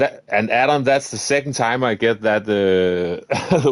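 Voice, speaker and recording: A man with a Danish accent, recorded dry and close with no echo. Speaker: gaming streamer. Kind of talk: live gameplay commentary. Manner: casual, chatty.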